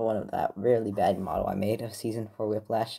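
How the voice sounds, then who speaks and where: A quiet voice at a moderate pace. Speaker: hobbyist model maker reviewing replicas. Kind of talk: casual show-and-tell video. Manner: hesitant, many fillers.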